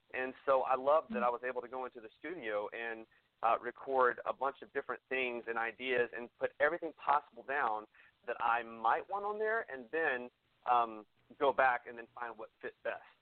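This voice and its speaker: This man has an unremarkable speaking voice at a medium pitch with ordinary pitch variation. His loudness swings widely. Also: moderate pace. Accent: American. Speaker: singer-songwriter. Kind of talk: casual radio interview.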